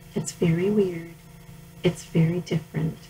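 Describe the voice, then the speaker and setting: A woman with a fairly low pitch talks at a moderate pace with fairly even intonation, against noticeable background noise. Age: 60s. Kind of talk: reading aloud from personal journal.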